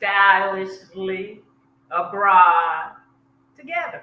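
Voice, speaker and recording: A woman with an American accent at a medium pitch, a very slow pace and audible room echo. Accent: Southern US, fading. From US South, South Georgia. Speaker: expat travel coach. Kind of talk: casual interview chat.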